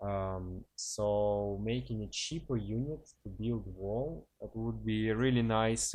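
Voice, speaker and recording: A man with a non-native accent speaks at a fairly slow pace with hardly any pauses, his pitch fairly low. His intonation stays fairly even over a quiet background. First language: not English. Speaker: gaming commentator. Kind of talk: gameplay commentary. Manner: casual, hesitant with fillers.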